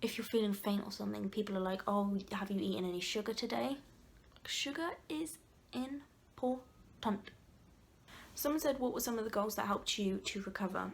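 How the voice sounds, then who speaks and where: Speaking at a moderate pace, a woman with a medium pitch talks in an English accent. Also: ordinary pitch variation. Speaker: vlogger. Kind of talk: casual chat. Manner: loud; animated.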